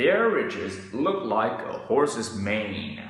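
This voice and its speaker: In a put-on character voice, a man speaks at a medium pitch and a very slow pace with a clear echo. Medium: read story.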